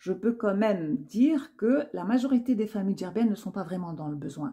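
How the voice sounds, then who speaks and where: Woman of medium pitch, somewhat breathy, with a dark, mellow tone and lively intonation. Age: 60s. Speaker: YouTuber giving personal commentary. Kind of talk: personal monologue to camera. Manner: hesitant, many fillers and repetitions.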